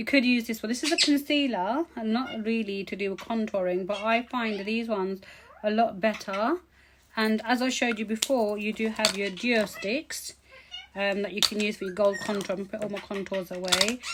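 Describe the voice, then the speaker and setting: Music plays in the background. A woman talks at a fairly high pitch. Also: ordinary pitch variation. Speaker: beauty vlogger. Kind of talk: tutorial. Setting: home. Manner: fast.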